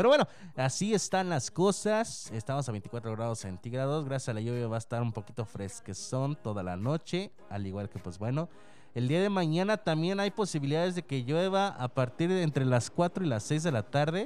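Holding a moderate pace, a man talks at a fairly high pitch with very wide pitch swings. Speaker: local radio host. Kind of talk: casual radio show chat. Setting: radio studio.

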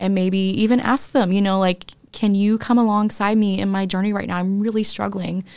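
A woman speaks in a plain, everyday voice at a medium pitch and moderate pace. The recording is very clean, with a silent background. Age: 40s. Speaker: podcast host sharing her illness story. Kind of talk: casual chat and personal testimony.

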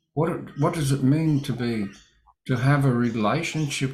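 Recorded very cleanly against a silent background, a man talks at a moderate pace in a somewhat breathy voice. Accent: Australian. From Australia. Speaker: Bible study host. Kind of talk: livestream Bible study. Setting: livestream from home studio.

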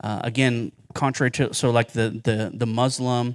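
With an American accent, a man speaks in a plain, everyday voice at medium pitch and a fairly slow pace, in a very clean recording with a silent background. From Ohio, Cincinnati-Dayton area. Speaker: pastor and theologian. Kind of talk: Q&A teaching session. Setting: church Sunday school class with audience.

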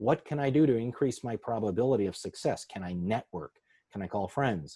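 A man with an American accent speaks at a moderate pace and medium pitch in a dark, mellow tone with lively intonation, his sound dry and close with no echo on a very clean recording with a silent background. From Chicago. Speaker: sports psychologist. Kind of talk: interview, explaining advice.

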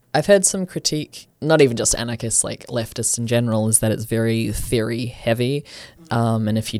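The voice belongs to a man and sits at a medium pitch. He moves along at a fairly quick clip. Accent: New Zealand. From New Zealand (Auckland, west). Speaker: anarchist group member, podcast co-host. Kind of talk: casual discussion.

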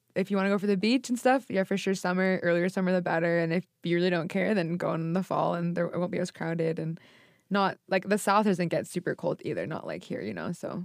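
A woman with an American accent, very fast, fairly low in pitch, and fairly even in intonation. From Boston, US. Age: 20s. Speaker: podcast guest. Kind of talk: casual chat.

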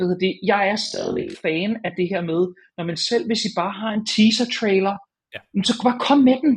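At a fairly slow pace, a man talks. He has a high pitch. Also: ordinary pitch variation. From Denmark, North Zealand (Hornbæk). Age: 30s. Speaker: games journalist. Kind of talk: casual chat.

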